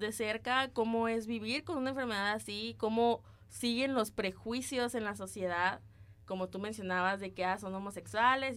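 Speaking at a moderate pace, a woman with an unremarkable speaking voice has a fairly high pitch and ordinary pitch variation. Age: 20s. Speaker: podcast co-host, student. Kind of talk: casual chat.

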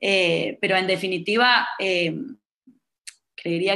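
A woman speaks with a fairly low pitch at a fairly slow pace. Her intonation stays fairly even. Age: 20s. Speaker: psychotherapist. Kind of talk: casual chat. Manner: halting, many repetitions.

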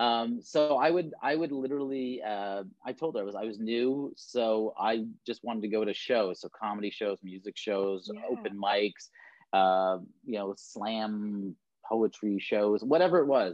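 With an ordinary speaking voice, a man speaks at a fairly slow pace and medium pitch with ordinary pitch variation. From Canada, Toronto. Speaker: talent agent. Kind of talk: casual chat.

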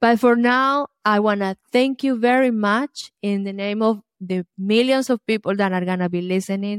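A woman with a fairly high pitch and ordinary pitch variation speaks with hardly any pauses, the sound dry and close with no echo. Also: moderate pace. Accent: Colombian. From Colombia. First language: Spanish. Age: 50s.

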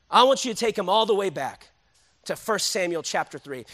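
A man with a high, bright and sharp voice talks in a raised, projected way, animated and at a fairly quick pace. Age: 30s. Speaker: pastor. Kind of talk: sermon.

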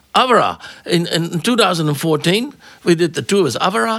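Raising and projecting his voice, a man speaks with a bright, sharp tone and ordinary pitch variation. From Netherlands. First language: Dutch. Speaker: jazz tour manager and impresario. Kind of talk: interview.

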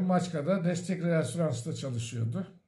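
Fairly slow male speech, with audible room echo. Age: 60s. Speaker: retiree and memoir author. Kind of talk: storytelling interview.

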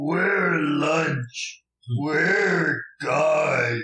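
A man does a put-on character voice pitched high. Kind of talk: comic caveman speech. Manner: simple broken words, slow, confused.

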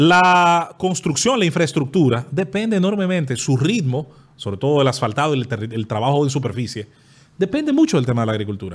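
A man speaks at a fairly quick pace with very wide pitch swings, recorded very cleanly against a silent background. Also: fairly high pitch for a man. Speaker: podcast guest. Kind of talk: casual chat. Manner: fast.

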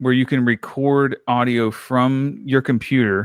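A man speaks in a medium pitch with an American accent. The sound is dry and close with no echo, over a quiet background. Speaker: podcaster and audio hobbyist. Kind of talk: casual chat. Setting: remote recording call. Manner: animated.

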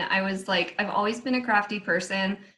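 A woman with an American accent has a plain, everyday voice, a medium pitch and ordinary pitch variation. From DC, Maryland, Virginia area. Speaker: candle maker with a side business. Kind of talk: casual interview chat. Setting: video call.

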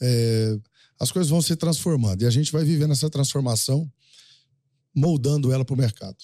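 A man's fairly high, dark and mellow voice at a fairly quick pace, with ordinary pitch variation, very even loudness and long, frequent pauses, on a very clean recording with a silent background. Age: 50s. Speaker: rural livestock auctioneer. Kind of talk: casual interview chat.

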